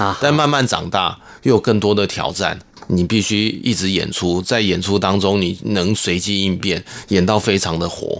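A man with a Hakka accent speaks at a moderate pace in a fairly low voice, his pitch rising and falling in the usual way. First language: Hakka (speaking Chinese). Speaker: glove puppetry troupe director. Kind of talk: interview.

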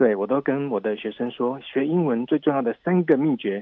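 A man with an ordinary speaking voice, medium in pitch, with ordinary pitch variation. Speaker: English teacher. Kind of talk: interview.

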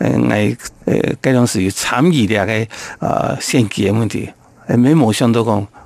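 Through noticeable background noise, a man talks at a fairly slow pace with ordinary pitch variation. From Taiwan, Taoyuan Yangmei. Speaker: Hakka community leader and businessman. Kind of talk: interview.

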